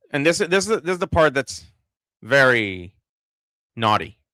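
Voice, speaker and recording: This man has a bright, sharp tone and speaks with an American accent. His recording is dry and close, with no echo. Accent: sounds American, picked up from TV. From Israel. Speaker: political commentator. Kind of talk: livestream commentary reading chat. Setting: livestream. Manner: halting, many fillers and repeats.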